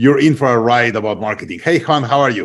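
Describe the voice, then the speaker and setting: In a very clean recording with a silent background, a man speaks at a fairly high pitch with a slight Latin American accent. His pace is fairly quick, with ordinary pitch variation. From Mexico. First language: Spanish. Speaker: podcast host. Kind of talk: interview podcast. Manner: hesitant, many fillers.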